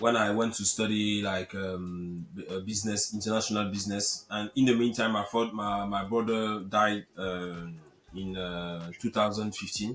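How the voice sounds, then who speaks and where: A man with a French accent talks at a moderate pace, his fairly low voice carrying fairly even intonation. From Cameroon. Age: 30s. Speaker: real estate investor. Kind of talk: interview. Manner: halting, many repetitions.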